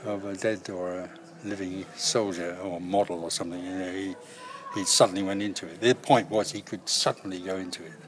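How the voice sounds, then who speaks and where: A man's very deep, low voice with fairly even intonation and big swings in loudness over noticeable background noise. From Scotland, Greenock. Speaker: actor. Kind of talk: interview.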